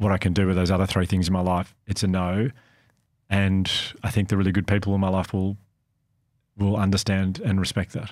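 Over a silent background in a very clean recording, a man with an Australian accent speaks at a fairly quick pace and fairly low pitch, flat and monotone with very even loudness and long, frequent pauses. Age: 40s. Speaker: podcast host. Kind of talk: casual chat.

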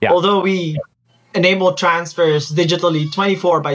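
Intonation stays fairly even as the speaker moves along at a moderate pace. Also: man. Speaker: guest. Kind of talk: interview answer.

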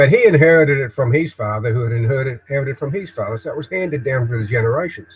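Somewhat breathy and fairly high, a man's voice runs at a very fast pace with hardly any pauses. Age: old. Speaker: video blogger. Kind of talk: live-stream monologue. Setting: home shed office, live broadcast. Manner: halting. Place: workshop. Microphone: webcam.

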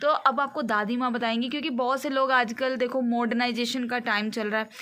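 This woman has a fairly high voice with a bright, sharp tone and fairly even intonation. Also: fairly quick pace.

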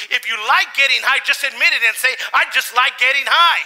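A man speaks at an extremely high pitch with a bright, sharp tone.

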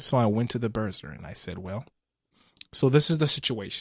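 A man at a moderate pace, somewhat breathy, in a dry, close sound with no echo and a very clean recording with a silent background. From Ghana. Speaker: guest sharing faith testimony. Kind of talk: testimony.

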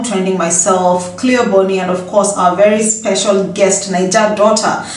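A woman's voice with audible room echo. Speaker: gossip vlogger. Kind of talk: casual vlog chat. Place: home room. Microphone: phone near.

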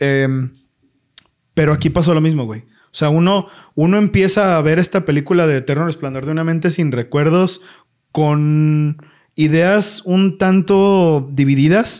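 A man with a Mexican accent speaks at a fairly slow pace, his fairly high pitch moving with ordinary variation. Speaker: podcast co-host. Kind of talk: casual chat. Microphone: new microphone.

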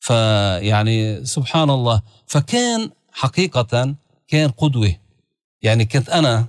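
Against a quiet background, a man speaks at a very slow pace with very even loudness and ordinary pitch variation. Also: medium pitch for a man, dry sound with no echo. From Lebanon (Beirut). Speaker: religious leader; guest. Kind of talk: interview. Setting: studio. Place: studio. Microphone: studio mic.

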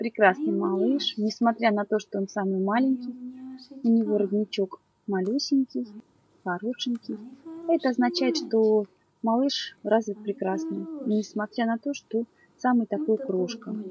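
Talking at a fairly slow pace with long, frequent pauses and ordinary pitch variation, the voice sounds dry with no echo over light background noise. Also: woman. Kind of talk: presentation of puppies for sale. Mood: warm, cooing. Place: home room. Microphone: camera far.

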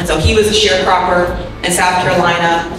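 There is music in the background as a woman speaks amid strong room echo. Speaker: presenter. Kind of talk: presentation talk. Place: hall.

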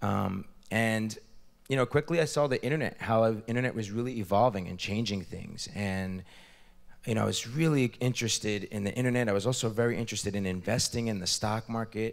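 A man speaks in a normal speaking voice at a fairly quick pace, his pitch medium with ordinary pitch variation. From US, New Jersey. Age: 30s. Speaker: entrepreneur and investor; guest. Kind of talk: interview. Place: hall. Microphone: handheld.

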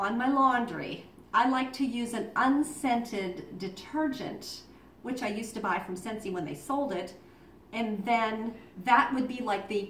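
Ordinary pitch variation, with light background noise and audible room echo. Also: woman. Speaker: home business seller. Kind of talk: tutorial. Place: home room. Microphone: camera far.

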